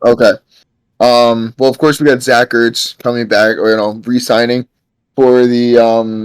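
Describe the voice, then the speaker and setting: A man talks fairly slowly at a medium pitch, in a monotone with flat intonation. The sound is dry and close, with no echo. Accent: New York. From New York. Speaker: podcast guest, football fan. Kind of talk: casual chat.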